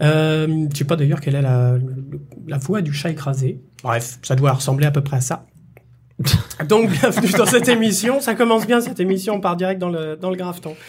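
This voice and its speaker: There is noticeable background noise as a man speaks with long, frequent pauses. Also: fairly high pitch for a man, lively intonation, moderate pace. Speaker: podcast co-host. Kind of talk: casual chat. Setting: studio.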